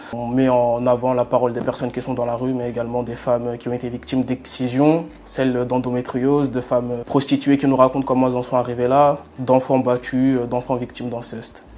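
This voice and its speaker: Amid noticeable background noise, a man talks fairly quickly in a monotone, flat intonation with hardly any pauses. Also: medium pitch for a man. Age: 20s. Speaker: journalism student. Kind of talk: testimony.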